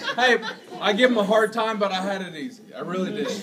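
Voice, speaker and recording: A man speaks at a very fast pace in a high voice, his intonation fairly even, with noticeable background noise behind him. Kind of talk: toast speech. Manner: tipsy, loose toast voice. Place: bar. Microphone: phone near.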